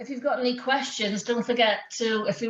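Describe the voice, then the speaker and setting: Speaking with a Welsh accent, a woman moves at a fairly quick pace with fairly even intonation. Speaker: sports programme lead. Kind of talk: online workshop hosting. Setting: video call.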